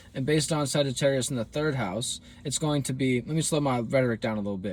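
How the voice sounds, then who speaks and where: This man talks at a very fast pace. His pitch is medium. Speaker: astrology content creator and musician. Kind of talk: astrology reading monologue. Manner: casual, filler-heavy.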